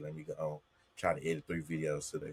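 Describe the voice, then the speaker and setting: A man speaks in a strong Southern US accent. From US South, Jackson, Mississippi. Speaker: content creator. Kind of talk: casual chat.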